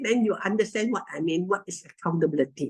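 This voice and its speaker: Woman with a Malaysian accent and ordinary pitch variation. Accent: Malaysian English (Manglish). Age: 70s. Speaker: network marketing distributor. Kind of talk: testimony. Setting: video call. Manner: animated.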